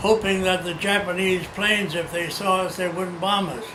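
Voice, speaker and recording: A man projects a raised voice at a high pitch, with fairly even intonation and a moderate pace. Audible room echo and noticeable background noise surround him. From China. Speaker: oral history interviewee. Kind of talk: oral history interview. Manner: halting.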